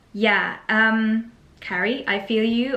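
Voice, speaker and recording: A woman speaks with a German accent amid audible room echo. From Germany. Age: 20s. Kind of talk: casual Q&A chat. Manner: hesitant, many fillers.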